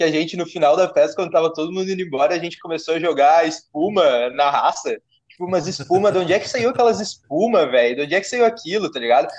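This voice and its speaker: At a very fast pace, a man talks with a high pitch and ordinary pitch variation. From southern Brazil, Porto Alegre. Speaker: podcast host. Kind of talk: casual chat.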